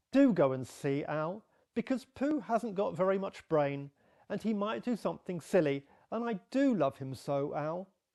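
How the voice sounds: What we hear is a natural reading voice.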